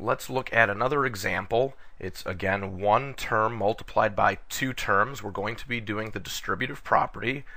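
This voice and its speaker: Using an unremarkable speaking voice, a man talks at medium pitch with ordinary pitch variation and hardly any pauses. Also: moderate pace. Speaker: math teacher. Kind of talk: tutorial.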